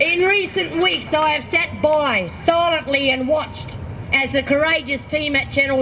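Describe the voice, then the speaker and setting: Over noticeable background noise, a woman projects a raised, high voice at very even loudness and a moderate pace, with ordinary pitch variation. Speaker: activist. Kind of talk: public speech.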